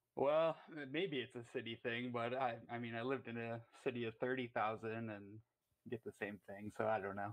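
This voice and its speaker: With a strong Canadian accent, a man talks in a fairly even intonation. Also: medium pitch for a man, moderate pace. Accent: thick Canadian. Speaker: caller. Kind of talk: call-in talk show. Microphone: worried mic is bad.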